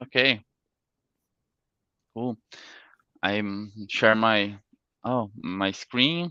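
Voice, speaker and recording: A man's fairly low voice in a non-native accent, with a bright, sharp tone and ordinary pitch variation, at a very slow pace with long, frequent pauses, in a dry, close sound with no echo against a quiet background. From Brazil, Santa Catarina. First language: Portuguese. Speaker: security engineer, workshop speaker. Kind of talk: technical presentation. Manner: halting.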